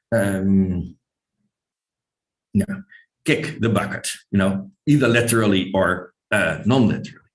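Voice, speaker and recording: A man with a Dutch accent speaks with ordinary pitch variation. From Netherlands. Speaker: linguistics professor. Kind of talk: lecture. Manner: hesitant, many fillers.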